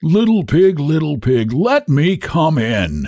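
A man's put-on character voice, growling at a fairly high pitch and a fairly slow pace. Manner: growling, menacing.

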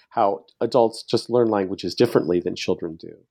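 With ordinary pitch variation, an unremarkable speaking voice talks at a fairly quick pace. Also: man. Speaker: book author, researcher. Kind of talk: interview.

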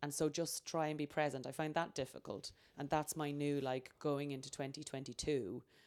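Speaking at a moderate pace in an Irish accent, a woman has a very deep, low voice and fairly even intonation. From Ireland. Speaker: comedian. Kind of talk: casual chat.

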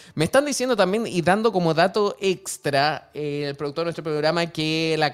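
A man's fairly high voice with lively intonation, an unremarkable speaking voice, and a very clean recording against a silent background. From Chile. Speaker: radio host. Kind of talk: radio show.

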